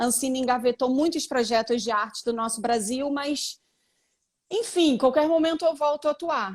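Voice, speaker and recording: The recording is very clean, with a silent background. A woman speaks at a high pitch and moderate pace, with ordinary pitch variation. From Brazil. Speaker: actress and photographer. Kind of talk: live interview.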